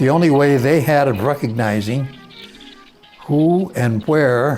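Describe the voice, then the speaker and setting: Over music in the background, a man with an American accent talks at a very slow pace with ordinary pitch variation. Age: 80s+. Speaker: former army combat film photographer narrating his own wartime footage. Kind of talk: reminiscing voice-over narration of old film footage. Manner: slow, hesitant, with filler words.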